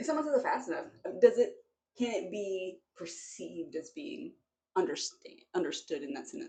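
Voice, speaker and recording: A woman talks at a moderate pace with big swings in loudness. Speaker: streamer. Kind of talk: casual chat. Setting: in a bathtub.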